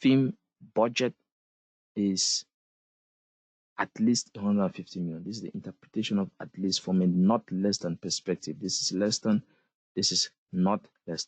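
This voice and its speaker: Speaking at a moderate pace with long, frequent pauses, a man with a non-native accent has a fairly low pitch, and the sound is dry and close with no echo over a quiet background. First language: not English. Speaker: SQL instructor. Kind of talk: live online class lecture. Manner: repetitive, emphatic.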